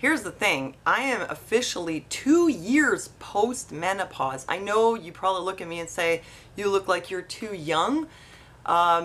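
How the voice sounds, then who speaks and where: The woman's pitch shows ordinary variation. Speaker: vlogger. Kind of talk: casual vlog chat. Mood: earnest, slightly weary. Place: home room.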